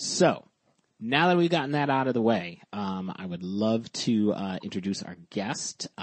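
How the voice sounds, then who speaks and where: A man talks with lively intonation at a fairly slow pace in a normal speaking voice. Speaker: podcast host. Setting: remote recording.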